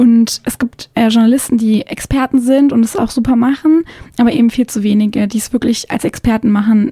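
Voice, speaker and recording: A woman's fairly high, normal speaking voice with fairly even intonation, the sound dry and close with no echo. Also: fairly quick pace. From southern Germany, Konstanz on Lake Constance. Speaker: journalist and blogger. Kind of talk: radio interview. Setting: radio studio.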